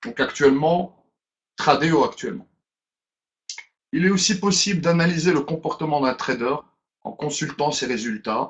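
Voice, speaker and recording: Speech moves at a fairly slow pace, broken by long, frequent pauses, with ordinary pitch variation. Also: man. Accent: Brussels. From Belgium, Brussels. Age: 30s. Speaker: business presenter. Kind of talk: webinar presentation. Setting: online webinar. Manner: hesitant, with fillers.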